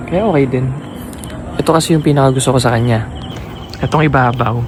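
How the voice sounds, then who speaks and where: Noticeable background noise fills the recording. Through it comes a man's voice at a medium pitch. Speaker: motovlogger. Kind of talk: vlog narration. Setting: outdoors at car wash. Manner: soft-spoken.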